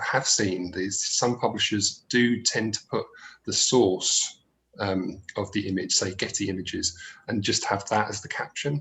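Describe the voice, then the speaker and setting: Speaking with a South London accent, a man of medium pitch keeps a moderate pace and ordinary pitch variation. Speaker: accessibility expert. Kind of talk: webinar presentation. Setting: live webinar. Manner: hesitant, many fillers.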